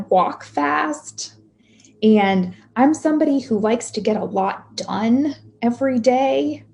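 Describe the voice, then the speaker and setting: At a very slow pace, a woman speaks with very wide pitch swings. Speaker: pastoral minister. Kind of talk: sermon. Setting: video call.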